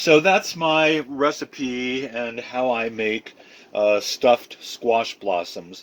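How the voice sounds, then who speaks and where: A man talks with ordinary pitch variation. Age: 70s. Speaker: home cook. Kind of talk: cooking tutorial. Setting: home kitchen. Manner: casual, with frequent fillers.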